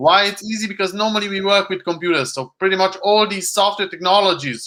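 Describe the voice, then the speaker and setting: Raising and projecting his voice, a man talks at a fairly quick pace in a high pitch with a bright, sharp tone. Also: ordinary pitch variation. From Hungary. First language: Hungarian. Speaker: computer science professor. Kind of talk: interview. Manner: halting.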